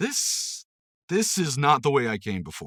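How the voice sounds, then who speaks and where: This is a man using a put-on character voice. His pitch is medium and his pace moderate. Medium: read story.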